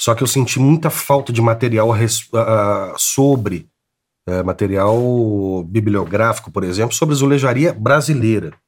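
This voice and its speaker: A man's plain, everyday voice at medium pitch, with ordinary pitch variation, a moderate pace and very even loudness. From Brazil, Belo Horizonte (Minas Gerais). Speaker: tile artist. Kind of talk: interview.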